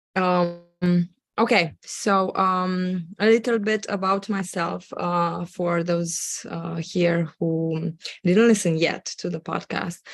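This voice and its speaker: With a Romanian accent, a woman speaks very slowly at a fairly low pitch with fairly even intonation. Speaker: Amazon seller and agency owner. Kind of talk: live webinar presentation. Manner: halting, many fillers.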